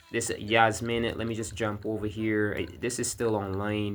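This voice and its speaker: With music in the background, a man speaks very slowly at a fairly low pitch in a monotone, flat intonation. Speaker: gaming YouTuber. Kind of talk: casual gaming commentary. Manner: slurred, drowsy; halting, many fillers.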